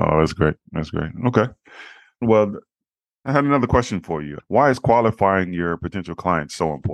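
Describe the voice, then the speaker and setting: At a moderate pace, a man with a fairly low pitch and lively intonation talks in a normal speaking voice, the sound dry and close with no echo over a quiet background. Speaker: podcast host. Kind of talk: interview. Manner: formal, polite.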